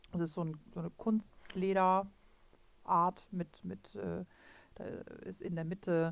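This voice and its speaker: A woman's fairly low voice at a fairly slow pace. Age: 40s. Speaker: riding instructor and podcast co-host. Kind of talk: casual expert chat. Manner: hesitant, many fillers.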